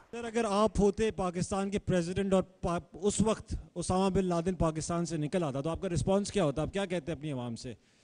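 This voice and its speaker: In a quiet setting, a man talks at a moderate pace in a high voice with ordinary pitch variation. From Pakistan. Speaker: moderator. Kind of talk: question and answer session. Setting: audience event. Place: hall. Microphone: handheld.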